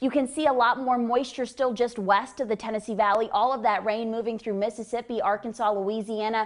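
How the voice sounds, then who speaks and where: This woman has an unremarkable speaking voice, fairly high in pitch with fairly even intonation. She talks at a fairly quick pace with hardly any pauses. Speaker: meteorologist. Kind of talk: TV weather forecast.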